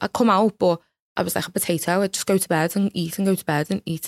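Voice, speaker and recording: With a Liverpool accent, a woman speaks at a fairly quick pace in a monotone, flat intonation, the sound dry and close with no echo. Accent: Scouse (Liverpool). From Liverpool, England. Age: 20s. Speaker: beauty pageant winner and mental health advocate. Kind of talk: interview.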